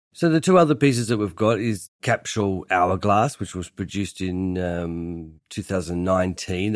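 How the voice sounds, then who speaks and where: In a very clean recording with a silent background, a man with an Australian accent speaks at a very deep, low pitch. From Tasmania, Australia (Hobart). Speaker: furniture designer. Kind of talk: interview.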